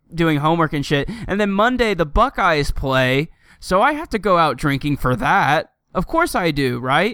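A man speaks loudly at a moderate pace, his voice high with a bright, sharp tone. The recording is very clean, with a silent background. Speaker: gaming podcast host. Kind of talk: casual chat.

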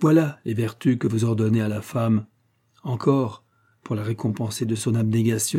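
Reading aloud in a natural voice, with fairly even intonation and a quiet background

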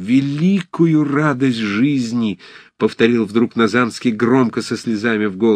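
Reading aloud in a natural voice

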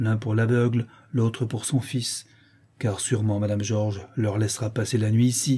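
Someone reads aloud. The voice stays natural throughout.

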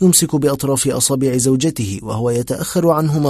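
A natural reading voice, pitch shifting an ordinary amount

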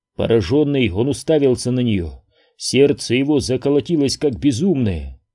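Behind the voice, it is quiet. The delivery is plain reading aloud.

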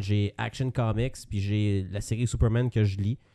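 A man with a Quebec accent speaks slowly, fairly so, in a dark, mellow tone and fairly low pitch, his intonation fairly even against a quiet background. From Quebec, Saint-Jean-sur-Richelieu. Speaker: podcast co-host. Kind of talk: casual chat.

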